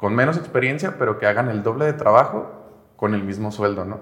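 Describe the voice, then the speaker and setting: A man of medium pitch at a moderate pace with ordinary pitch variation. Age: 20s. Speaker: software engineer and agency founder. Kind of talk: interview. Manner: casual, hesitant with fillers.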